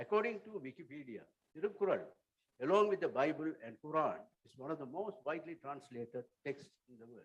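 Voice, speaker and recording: With a Tamil accent, a man talks at a fairly quick pace in a fairly high pitch, his intonation lively and his loudness swinging widely. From Sri Lanka. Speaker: writer and translator. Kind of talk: conference talk. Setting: auditorium. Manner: formal.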